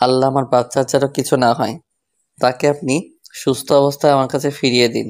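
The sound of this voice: An unforced reading voice set against a quiet background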